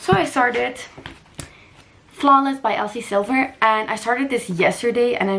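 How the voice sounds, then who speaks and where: A woman's animated tone at a moderate pace, with ordinary pitch variation and noticeable background noise. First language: not English. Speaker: lifestyle and book vlogger. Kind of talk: casual vlog talk.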